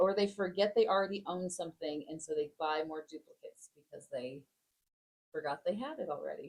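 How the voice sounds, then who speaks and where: With an American accent, a woman speaks at a fairly quick pace in a medium pitch, her intonation lively and her loudness swinging widely. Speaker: podcast co-host. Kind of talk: casual discussion.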